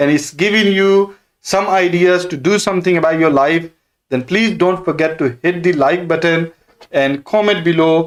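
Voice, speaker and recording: A high-pitched man with a Pakistani accent talks at a moderate pace. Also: fairly even intonation. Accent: South Asian (Pakistani) English. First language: Urdu. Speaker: property investor and stock trader. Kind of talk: live stream Q&A. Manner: halting, many fillers.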